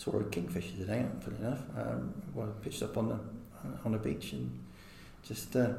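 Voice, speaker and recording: With ordinary pitch variation, the speech runs at a fairly quick pace amid audible room echo and noticeable background noise. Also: man. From Herefordshire, England. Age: 40s. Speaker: wildlife trust volunteer. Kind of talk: interview. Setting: outdoors. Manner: halting.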